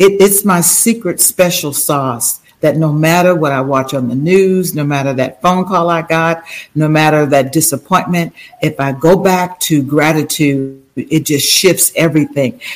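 Her pitch is very deep and low. It shifts in an ordinary way as the woman speaks. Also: fairly slow pace. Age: 70s. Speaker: author and life coach. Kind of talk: interview.

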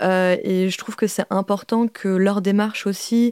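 At a fairly slow pace, a woman with a plain, everyday voice speaks at medium pitch with fairly even intonation, recorded in a dry, close sound with no echo. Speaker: video artist and author. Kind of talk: recorded interview, reflective talk.

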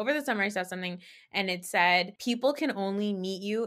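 A woman with an unremarkable speaking voice talks at a fairly quick pace, her medium pitch varying in an ordinary way. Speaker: podcast co-host. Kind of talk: casual chat recapping reality TV. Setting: remote recording with video.

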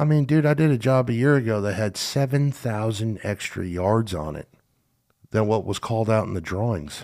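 On a very clean recording with a silent background, a man with an American accent and a plain, everyday voice speaks at a moderate pace, his medium pitch carried by lively intonation. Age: 30s. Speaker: podcast host and earthwork contractor. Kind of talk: casual interview.

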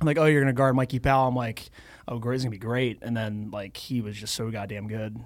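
A man's medium-pitched voice at a very fast pace, in a very clean recording with a silent background. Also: fairly even intonation. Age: 30s. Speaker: professional lacrosse player. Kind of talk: casual sports interview. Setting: studio.

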